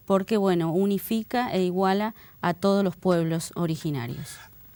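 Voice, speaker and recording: A woman speaks fairly slowly in a plain, everyday voice with ordinary pitch variation. The recording is very clean, with a silent background. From Bahía Blanca, Argentina. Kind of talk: interview.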